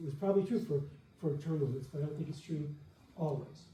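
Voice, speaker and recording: A man's fairly high voice with ordinary pitch variation and audible room echo. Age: 70s. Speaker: debater. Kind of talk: debate rebuttal. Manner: animated.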